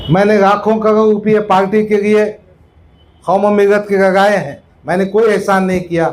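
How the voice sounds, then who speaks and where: This man has a high voice and keeps his intonation fairly even. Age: 60s. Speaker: politician. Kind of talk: political speech at a meeting.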